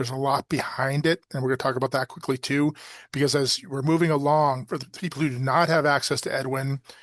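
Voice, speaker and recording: Over a quiet background, a man talks at a very fast pace with a fairly high pitch and monotone, flat intonation, the sound dry and close with no echo. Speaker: state education official. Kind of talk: webinar presentation.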